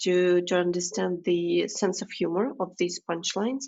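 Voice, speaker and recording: A woman with a non-native accent speaks at a moderate pace and a medium pitch. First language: not English. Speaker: podcast host. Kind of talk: podcast interview.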